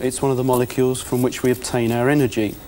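A man with a British accent talks very fast over light background noise. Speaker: chemistry presenter. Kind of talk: educational demonstration. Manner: formal, precise. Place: studio. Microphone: lapel.

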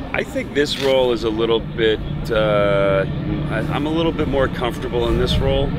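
Over loud background noise, a man with an American accent speaks at a fairly quick pace, the sound dry with no echo. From San Francisco, USA. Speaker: actor. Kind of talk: interview answer. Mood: relaxed, friendly. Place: waterside.

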